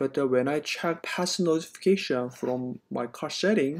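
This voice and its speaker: The voice moves at a fairly slow pace over a quiet background. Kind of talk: casual explanatory commentary. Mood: concerned. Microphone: phone near.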